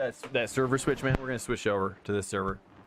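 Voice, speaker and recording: American-accented man amid noticeable background noise. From California. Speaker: sim racing streamer. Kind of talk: live stream chat. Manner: fast; casual, filler-heavy.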